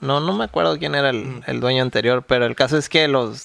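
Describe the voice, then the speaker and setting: At a moderate pace, a man with an unremarkable speaking voice talks at medium pitch with ordinary pitch variation. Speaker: podcast co-host. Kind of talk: casual chat.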